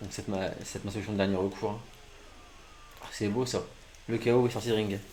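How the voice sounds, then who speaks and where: Audible room echo surrounds a man's voice. He speaks at a fairly quick pace with a fairly low pitch. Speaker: gaming streamer. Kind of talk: live gameplay commentary. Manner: poor articulation, stumbling; animated.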